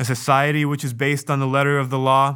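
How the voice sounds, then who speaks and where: A man's medium-pitched voice with a bright, sharp tone, on a very clean recording against a silent background. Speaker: reader of a speech. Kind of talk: reading aloud a historic speech. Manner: formal, measured, solemn.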